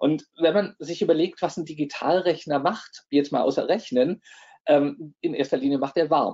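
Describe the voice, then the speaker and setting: A man with an unremarkable speaking voice, fairly high pitch and ordinary pitch variation, at a fairly slow pace over a quiet background. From Bavaria/Swabia, Germany (Neu-Ulm); Bavaria, Germany. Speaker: professor. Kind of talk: lecture. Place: home room.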